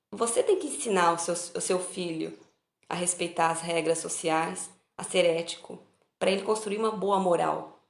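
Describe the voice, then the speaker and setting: A woman's fairly low voice at a moderate pace, fairly even in intonation, with audible room echo. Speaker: spiritist study group leader. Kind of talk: online study talk.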